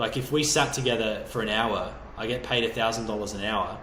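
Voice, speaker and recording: An energetic man with an Australian accent speaks at medium pitch and a fairly quick pace, with audible room echo and noticeable background noise. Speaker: online business coach. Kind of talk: motivational video talk. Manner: fast.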